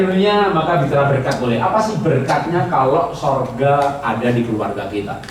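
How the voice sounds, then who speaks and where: With very wide pitch swings and a moderate pace, a man speaks amid noticeable background noise and audible room echo. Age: 60s. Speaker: pastor. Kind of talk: sermon. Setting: church retreat with live audience. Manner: conversational, interactive with audience.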